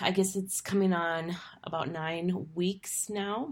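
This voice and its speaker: A woman speaks at a very slow pace. Her voice is fairly low in pitch. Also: very clean recording, silent background. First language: English (speaking Spanish). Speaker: university lecturer and podcast host. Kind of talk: podcast intro monologue. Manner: halting, many fillers.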